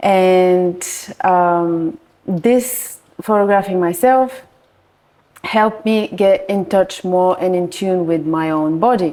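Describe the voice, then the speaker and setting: A woman in a Bulgarian accent talks at a very slow pace, her medium pitch showing ordinary variation. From Bulgaria, Varna. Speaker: nude art photographer. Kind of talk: podcast interview. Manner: halting.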